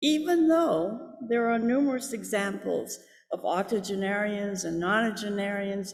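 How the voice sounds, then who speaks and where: The delivery is fairly slow, with lively intonation. Audible room echo fills the recording. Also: woman. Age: 80s+. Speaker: lay service leader. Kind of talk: personal reflection in church service. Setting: church sanctuary.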